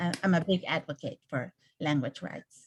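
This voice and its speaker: A fairly slow delivery with a dry, close sound and no echo. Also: woman. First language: Spanish. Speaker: neighborhood council representative. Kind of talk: casual chat.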